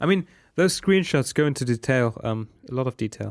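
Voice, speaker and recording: With a German accent, a man talks at a moderate pace and medium pitch with ordinary pitch variation, the sound dry and close with no echo and the recording very clean over a silent background. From Germany. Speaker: podcast co-host. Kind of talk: casual chat.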